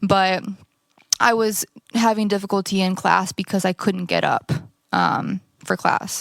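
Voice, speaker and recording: A woman at a fairly slow pace, dry and close with no echo. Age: 20s. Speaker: stroke survivor, church member. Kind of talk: testimony interview. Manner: halting.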